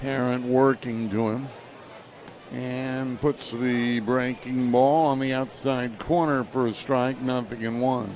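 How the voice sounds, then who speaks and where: Over noticeable background noise, a man at medium pitch speaks very slowly in a monotone, flat delivery. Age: 70s. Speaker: baseball play-by-play announcer. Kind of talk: live commentary.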